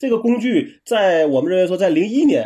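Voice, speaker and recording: A man's dark, mellow tone rises and falls with lively intonation. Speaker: tech podcast co-host. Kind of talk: casual chat.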